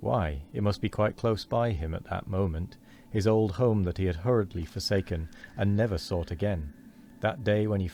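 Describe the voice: The clip is plain reading aloud. Pitch rises and falls in an ordinary way.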